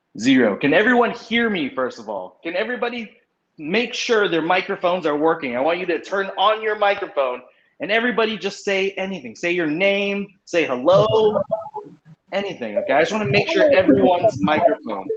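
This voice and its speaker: Loud and fairly quick, a man speaks with an American accent at a high pitch. His voice swings very widely up and down. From US West Coast, San Francisco. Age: 30s. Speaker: English teacher. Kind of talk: online class lecture. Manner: speeds up when excited.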